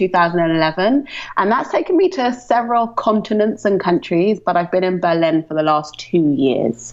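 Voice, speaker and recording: Noticeable background noise sits behind a woman with a British accent speaking at a fairly quick pace. Her medium pitch swings very widely. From London, England. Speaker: ecommerce marketing strategist. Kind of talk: podcast interview.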